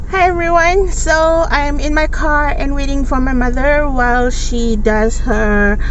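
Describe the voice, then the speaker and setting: With hardly any pauses, a woman talks at a fairly slow pace amid audible room echo and noticeable background noise. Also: very even loudness. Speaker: beauty vlogger. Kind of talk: casual vlog tutorial. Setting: in a parked car.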